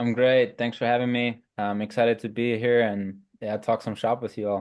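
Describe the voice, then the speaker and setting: A man speaks with a German accent at a medium pitch. His intonation is monotone and flat. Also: moderate pace. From Germany. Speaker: sport scientist. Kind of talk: podcast interview.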